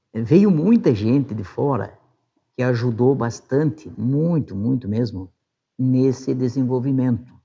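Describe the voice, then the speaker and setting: Against a quiet background, a man with a medium pitch and a dark, mellow tone speaks very slowly with lively intonation. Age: 60s. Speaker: former city council president. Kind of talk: interview testimony. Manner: casual, with frequent fillers.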